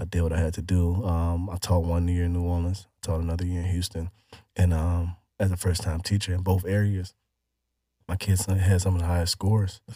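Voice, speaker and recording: A man's very deep, low voice with an American accent, somewhat breathy with a dark, mellow tone, in a flat monotone at a fairly quick pace, on a very clean recording with a silent background. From Chicago, Illinois. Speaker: former teacher and dog breeder. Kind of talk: casual interview. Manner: hesitant, many fillers.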